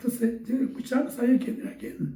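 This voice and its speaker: A man speaks at a fairly quick pace. Room echo is audible. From Chile, Talca then Santiago. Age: 80s+. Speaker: veteran bandleader and musician. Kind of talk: interview testimony. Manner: halting, repetitive.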